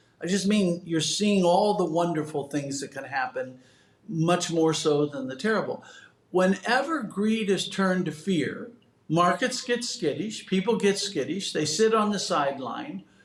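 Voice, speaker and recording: There is noticeable background noise as a man speaks at a fairly slow pace. His pitch is high, and his intonation is lively. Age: 70s. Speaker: economist and real estate consultant. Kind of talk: podcast interview. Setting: podcast.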